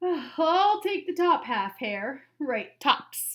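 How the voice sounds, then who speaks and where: Put-on character voice from a woman, extremely high-pitched and growling, with very wide pitch swings and a very slow pace. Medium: read story. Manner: slow, grumbling.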